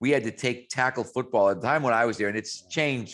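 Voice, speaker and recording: A man speaks in a plain, everyday voice with an American accent at a fairly quick pace. His pitch varies in an ordinary way, and the recording is very clean with a silent background. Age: 60s. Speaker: strength and conditioning coach. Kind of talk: interview.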